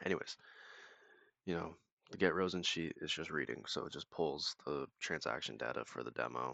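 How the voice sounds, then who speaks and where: The voice carries vocal fry and ordinary pitch variation at a moderate pace. Long pauses come often. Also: man. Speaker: tech YouTuber building automation tools. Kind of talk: screen-share tutorial. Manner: casual, filler-heavy.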